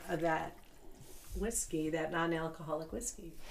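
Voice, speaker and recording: Against noticeable background noise, a woman with an American accent and a fairly low pitch talks at a fairly quick pace. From Chicago suburbs, US. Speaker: small business owner. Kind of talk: casual chat.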